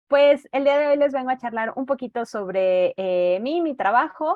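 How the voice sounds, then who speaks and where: With a fairly slow delivery, the woman's voice carries lively intonation. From central Mexico (Toluca, State of Mexico). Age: 30s. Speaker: teacher and reading mediator. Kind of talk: online presentation. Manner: hesitant fillers.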